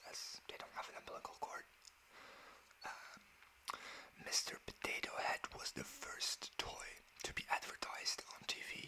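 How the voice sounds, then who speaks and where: Someone whispers with long, frequent pauses. Noticeable background noise sits behind the voice. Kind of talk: ASMR fact reading. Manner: whispered, soft-spoken.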